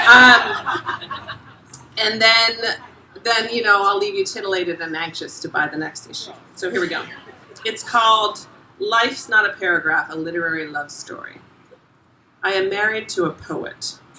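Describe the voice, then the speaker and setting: A woman with an American accent and a fairly high pitch speaks at a moderate pace with ordinary pitch variation, big swings in loudness and long, frequent pauses, amid noticeable background noise and audible room echo. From South Florida. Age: 40s. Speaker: essayist. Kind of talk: reading aloud. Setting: stage with audience; bar. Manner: animated.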